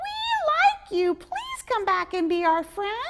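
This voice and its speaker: Shouting in a put-on character voice, a woman squeaks at an extremely high pitch and a fairly slow pace. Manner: shouting in chorus, friendly.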